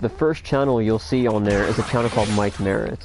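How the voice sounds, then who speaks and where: Noticeable background noise is present. A man speaks with ordinary pitch variation. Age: 20s. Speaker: gamer streamer. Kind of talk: casual livestream chat. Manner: casual, stammering.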